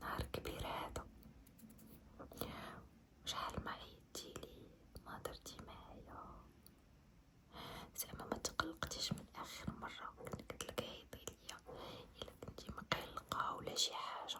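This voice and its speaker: Whispering in a Moroccan accent, gentle in tone and fairly slow, with long, frequent pauses and noticeable background noise. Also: woman. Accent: Moroccan Arabic (Darija). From Morocco. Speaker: ASMR creator. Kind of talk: ASMR roleplay, friendly makeup artist talking to the viewer. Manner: soft, gentle, intimate.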